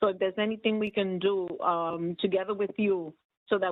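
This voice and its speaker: This woman has an ordinary speaking voice, a medium pitch, a moderate pace and ordinary pitch variation. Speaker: nursing home employee. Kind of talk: community board meeting.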